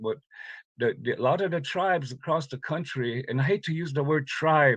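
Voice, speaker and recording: Over a quiet background, a man with a fairly high pitch speaks at a fairly quick pace, somewhat breathy. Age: 70s. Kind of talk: conference talk, personal testimony. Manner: halting, many fillers and repeats.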